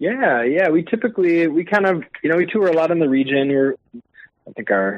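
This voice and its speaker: With an Upper Midwest accent, a man talks at a moderate pace with lively intonation. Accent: Upper Midwest (Minnesota). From Minnesota, Twin Cities suburbs. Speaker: string band musician. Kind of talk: casual interview chat.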